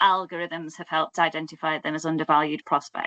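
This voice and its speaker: A woman with a Yorkshire accent speaks at a fairly quick pace. The sound is dry and close, with no echo. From Yorkshire, northern England. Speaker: academic researcher. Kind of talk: academic seminar presentation. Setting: online seminar. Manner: conversational, with frequent fillers and restarts.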